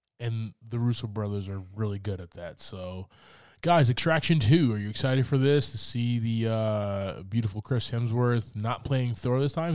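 On a very clean recording with a silent background, an ordinary speaking voice shows ordinary pitch variation. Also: man, medium pitch for a man, moderate pace. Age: 30s. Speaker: podcast host. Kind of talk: casual chat. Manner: casual, joking.

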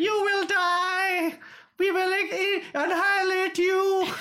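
A put-on character voice comes out loud and shrill at an extremely high pitch. It moves at a very slow pace with monotone, flat intonation. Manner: threatening, shouted.

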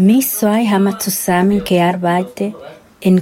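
A woman with a Spanish accent, medium in pitch, at a very slow pace with fairly even intonation, amid noticeable background noise. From Dominican Republic. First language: Spanish (speaking German). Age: 50s. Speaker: former sex worker, witness. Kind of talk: interview. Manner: halting.

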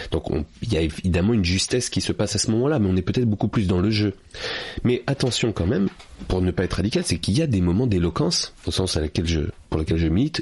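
With a very deep, low pitch, a man talks at a very fast pace, his intonation lively and his loudness very even. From France, Paris suburbs. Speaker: public speaking coach and author. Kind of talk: interview.

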